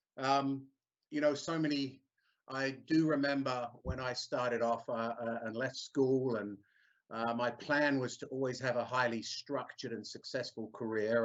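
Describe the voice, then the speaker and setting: He is a man with a slight English accent. His pace is fairly slow and his intonation fairly even. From England, London. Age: 50s. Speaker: service manager. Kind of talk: career talk.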